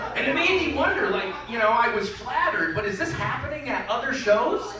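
The room echo is audible. Loud background noise is present too. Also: man. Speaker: stand-up comedian. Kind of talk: stand-up comedy routine. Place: hall. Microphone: pa.

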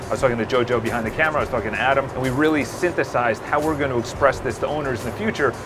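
Music plays in the background while a man talks very fast. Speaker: real estate agent vlogger. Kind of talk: casual vlog chat. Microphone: phone near.

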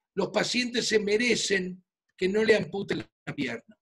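The speaker talks fairly slowly with an Argentine accent and lively intonation against a quiet background. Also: man. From Argentina, Buenos Aires. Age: 60s. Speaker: physician. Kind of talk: presentation. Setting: video call. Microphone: video call.

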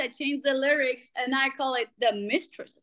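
A woman uses a raised, projected voice at a high pitch. She speaks at a moderate pace against a quiet background. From Greece. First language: Greek. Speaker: rock singer; interviewee. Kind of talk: interview. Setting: video call. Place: home room. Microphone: video call.

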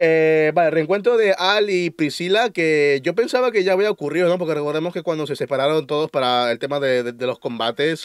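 Here a man's intonation is lively. Behind him, things stay quiet. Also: dry sound with no echo. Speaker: anime reviewer. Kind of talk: casual review commentary.

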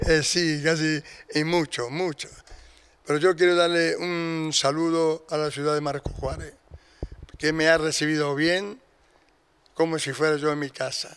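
Speaking at a fairly slow pace with long, frequent pauses, a man keeps a fairly high pitch and monotone, flat intonation. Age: 70s. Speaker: retired religious brother and teacher. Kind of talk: interview. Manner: halting.

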